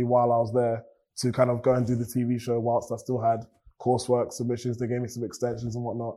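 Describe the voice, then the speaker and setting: A man with a southern English accent. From England, Cambridge, of Nigerian parents. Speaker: beatboxer and musician. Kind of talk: interview.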